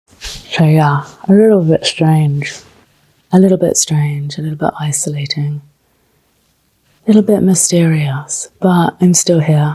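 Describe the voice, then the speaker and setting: A woman speaks slowly with a very deep, low pitch, a dark, mellow tone and a somewhat breathy quality. Her intonation is fairly even, and she leaves long, frequent pauses. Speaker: travel vlogger. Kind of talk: vlog narration. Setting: hotel room.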